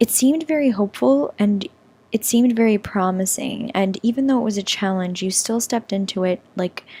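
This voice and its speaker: A woman speaks at a fairly quick pace with lively intonation, her medium-pitched voice somewhat breathy and dark and mellow in tone, recorded dry and close with no echo. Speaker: tarot reader. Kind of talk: tarot reading monologue.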